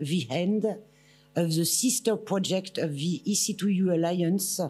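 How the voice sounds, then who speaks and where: The speaker talks at a fairly slow pace with ordinary pitch variation. Music plays in the background. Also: woman. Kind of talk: formal speech. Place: hall. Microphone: podium.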